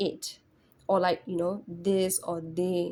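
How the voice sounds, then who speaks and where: This woman's voice sits at a medium pitch with a dark, mellow tone. Her pace is fairly slow. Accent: non-native. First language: not English. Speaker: English test tutor. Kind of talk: tutorial. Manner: casual, repetitive with fillers.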